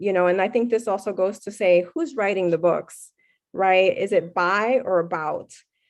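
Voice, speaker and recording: A woman with a Miami accent talks at a medium pitch and a fairly slow pace. The background is quiet. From Puerto Rican, raised in South Florida. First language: Spanish. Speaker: professor. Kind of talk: Q&A after keynote lecture. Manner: frequent fillers and hesitations.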